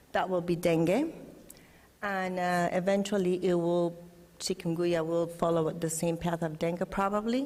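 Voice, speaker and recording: A medium-pitched woman's voice with a Spanish accent and fairly even intonation, set in audible room echo. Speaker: scientist. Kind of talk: conference presentation. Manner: halting.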